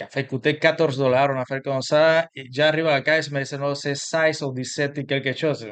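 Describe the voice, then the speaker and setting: A man with a Cuban accent, fairly high pitch, monotone, flat intonation and a fairly quick pace. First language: Spanish (speaking French). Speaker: immigrant sharing his story. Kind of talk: interview. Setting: video interview with his wife. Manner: halting, many repetitions.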